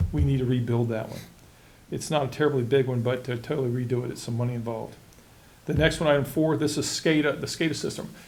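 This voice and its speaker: Audible room echo surrounds a man at a medium pitch with ordinary pitch variation. He speaks at a very fast pace in a somewhat breathy voice. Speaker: county utilities official. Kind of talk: public meeting presentation. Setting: board meeting.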